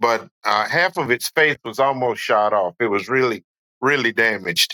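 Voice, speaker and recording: A man with a North Carolina accent speaks at a medium pitch and a fairly slow pace in a bright, sharp tone, with a dry, close sound and no echo. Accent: Southern US (North Carolina). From US South, western North Carolina foothills. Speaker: falconer. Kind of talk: casual podcast interview. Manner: halting, many fillers.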